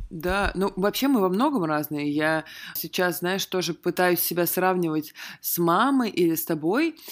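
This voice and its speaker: A woman with a fairly low pitch and ordinary pitch variation speaks at a fairly slow pace in a very clean recording with a silent background. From Russia, small military town. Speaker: podcast host. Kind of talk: casual chat.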